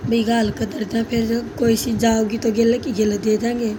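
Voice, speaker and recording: Over noticeable background noise and audible room echo, a woman speaks fairly slowly in a fairly high, monotone, flat voice. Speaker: vlogger. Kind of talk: casual vlog narration.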